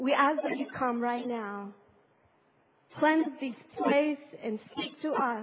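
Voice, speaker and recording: A woman speaks at a high pitch with a non-native accent and ordinary pitch variation. Her pace is very slow, with long, frequent pauses. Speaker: pastor. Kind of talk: sermon. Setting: church.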